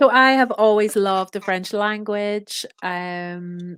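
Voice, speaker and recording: A woman in a Northern Irish accent speaks at medium pitch with big swings in loudness. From Northern Ireland. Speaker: expat business owner. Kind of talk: podcast interview.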